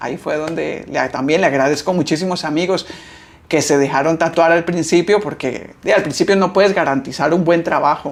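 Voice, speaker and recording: He has an ordinary speaking voice, fairly high for a man, with ordinary pitch variation. The pace is moderate. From Costa Rica. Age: 30s. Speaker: tattoo artist. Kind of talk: interview.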